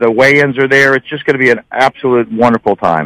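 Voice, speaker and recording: A normal speaking voice at a fairly quick pace, with ordinary pitch variation and a dry, close sound with no echo. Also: man. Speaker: veterans nonprofit leader. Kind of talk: interview. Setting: phone call.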